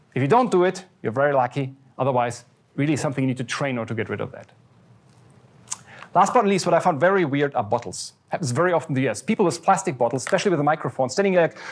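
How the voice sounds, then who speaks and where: Talking at a very fast pace, a man uses a fairly high pitch and lively intonation. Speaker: professor. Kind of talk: lecture. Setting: lecture hall with audience.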